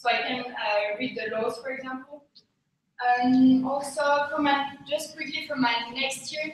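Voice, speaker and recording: Speaking fairly slowly, a woman with a high pitch keeps her intonation fairly even against audible room echo. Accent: French. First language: French. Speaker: candidate for an executive committee post. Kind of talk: candidate speech. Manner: halting.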